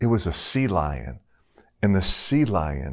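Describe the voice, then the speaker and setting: With a very deep, low pitch and vocal fry, a man speaks at a fairly slow pace. His intonation is lively. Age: 50s. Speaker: pastor, former pro hockey player. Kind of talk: sermon.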